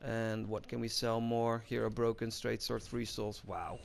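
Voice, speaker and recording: A man with a Dutch accent talks at a moderate pace. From Netherlands. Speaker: gaming YouTuber. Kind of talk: gameplay commentary tutorial. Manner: flat, unemotional.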